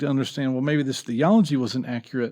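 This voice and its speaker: In a Southeastern US accent, a man talks at a medium pitch with ordinary pitch variation against a quiet background. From US South, North Carolina. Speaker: former minister. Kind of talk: podcast interview.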